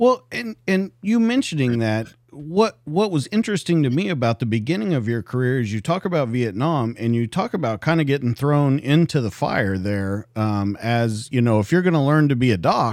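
A man's pitch swings very widely. The recording is very clean, and the background is silent. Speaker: podcast host, police detective and army veteran. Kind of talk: interview. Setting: studio.

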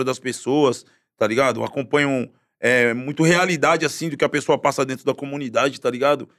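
Here is a normal speaking voice, a man talking at a moderate pace with ordinary pitch variation. The recording is very clean, with a silent background. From Guarujá, Baixada Santista, São Paulo state, Brazil. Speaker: actor in a TV series and musician. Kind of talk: casual chat.

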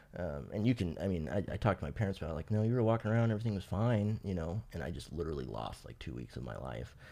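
In a very clean recording with a silent background, a man with an American accent speaks very fast with hardly any pauses, his very deep, low voice dark and mellow, full of vocal fry and very wide pitch swings. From Fresno, California. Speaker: person in addiction recovery. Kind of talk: personal testimony. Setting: podcast interview.

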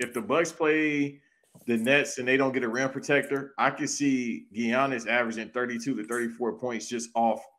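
Speaking at a fairly slow pace, a man uses a medium pitch with ordinary variation in a very clean recording with a silent background. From Los Angeles. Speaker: podcast host. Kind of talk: casual chat.

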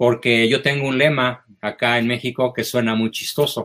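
A man with a Mexican accent talks at a moderate pace in a medium pitch. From Mexico. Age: old. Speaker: psychologist and philosopher. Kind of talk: interview conversation. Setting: remote video call.

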